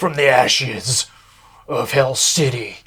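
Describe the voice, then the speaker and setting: A man puts on a raspy character voice at medium pitch. He speaks at a fairly slow pace. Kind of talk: theatrical. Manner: dramatic, grandiose.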